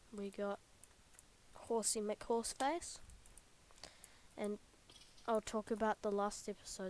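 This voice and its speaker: Quiet speech moves at a fairly slow pace with fairly even intonation and long, frequent pauses. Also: woman. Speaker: gaming YouTuber. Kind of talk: let's play commentary.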